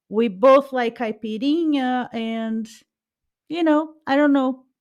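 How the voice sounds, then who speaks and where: A woman speaks at a very slow pace with a Brazilian accent. The background is quiet. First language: Portuguese. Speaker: podcast co-host. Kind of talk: casual chat.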